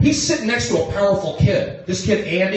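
A man is speaking. There is noticeable background noise and audible room echo. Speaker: stand-up comedian. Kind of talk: stand-up crowd work. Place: stage. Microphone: pa.

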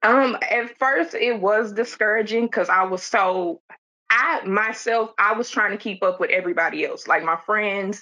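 With an American accent and a bright, sharp tone, a woman speaks at a medium pitch and moderate pace with ordinary pitch variation. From Detroit, Michigan. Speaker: medical administrative assistant. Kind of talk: panel discussion.

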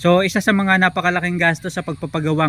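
A man talks at a fairly quick clip in an ordinary speaking voice. His intonation stays fairly even. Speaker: vlogger. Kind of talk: tutorial. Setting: outdoors at a piggery. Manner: explanatory, filler-heavy.

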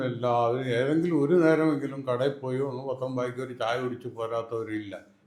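A man talks at medium pitch amid audible room echo. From Kerala, Wayanad. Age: 80s+. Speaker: elderly farmer and self-taught woodcraftsman. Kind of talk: casual interview. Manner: halting.

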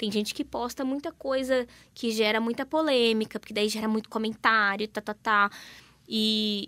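Fairly high in pitch, a woman speaks in a bright, sharp tone with fairly even intonation. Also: moderate pace. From Paraná, Brazil. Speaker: influencer and mother; influencer. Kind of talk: radio interview. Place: studio.

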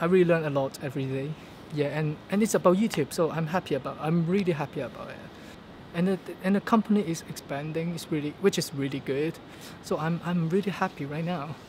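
Over light background noise, a man with a Hong Kong accent talks at a very fast pace. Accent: Hong Kong Cantonese-accented English. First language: Cantonese. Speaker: vlogger. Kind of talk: casual vlog monologue. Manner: halting, with fillers and repetitions. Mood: upbeat, optimistic. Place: street. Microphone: phone near.

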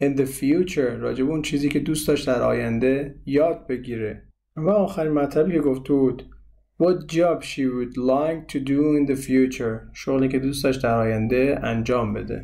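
At a moderate pace, a man with a fairly high, dark, mellow voice speaks amid audible room echo. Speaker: English teacher. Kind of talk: tutorial.

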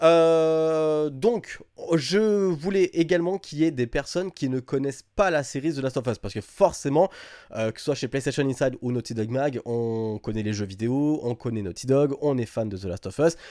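Recorded very cleanly against a silent background, the dry, close sound with no echo carries a man's fairly high-pitched voice, dark and mellow in tone, with lively intonation at a moderate pace. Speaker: gaming channel host. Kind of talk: casual panel discussion.

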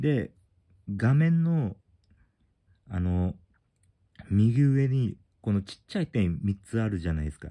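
Lively intonation from a man with a dark, mellow tone at a fairly slow pace. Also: quiet background. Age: 40s. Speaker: YouTuber. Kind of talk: tutorial. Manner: casual, halting. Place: home room. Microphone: phone near.

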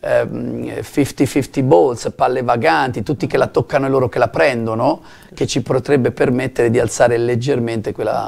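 This man's voice has vocal fry. His pitch varies an ordinary amount. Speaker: basketball coach. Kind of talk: studio interview. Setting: TV studio. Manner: calm and composed. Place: studio.

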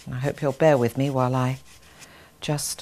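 This woman's voice sits very deep and low. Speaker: art instructor. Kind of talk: tutorial. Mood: warm, encouraging. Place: studio.

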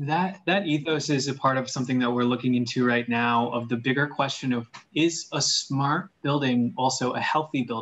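Speaking at a moderate pace with hardly any pauses, a man talks in an American accent. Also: ordinary pitch variation. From Queens, New York; New York. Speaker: wellness institute staff member; guest. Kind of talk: panel discussion. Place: home room. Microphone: video call.

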